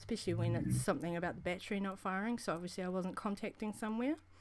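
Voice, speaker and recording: A woman speaks with a New Zealand accent at medium pitch. Her pitch varies in an ordinary way. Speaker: vaping show host. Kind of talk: casual chat. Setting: live stream. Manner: fast; halting.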